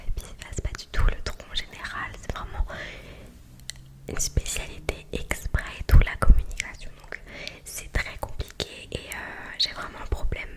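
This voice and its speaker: A woman whispering at a fairly slow pace over noticeable background noise. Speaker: ASMR creator. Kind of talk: ASMR chat to camera. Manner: whispered, close to the mic.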